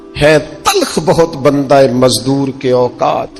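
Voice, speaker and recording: A man's medium-pitched voice with fairly even intonation and music in the background. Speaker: Islamic preacher giving a sermon. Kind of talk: emotional religious sermon (bayan) to an audience. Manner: emotional, passionate, fervent.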